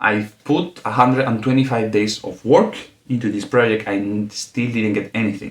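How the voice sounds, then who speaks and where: A man with a non-native accent, fairly low in pitch, at a moderate pace. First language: not English. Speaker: podcast host. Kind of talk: solo podcast monologue. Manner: halting, with fillers.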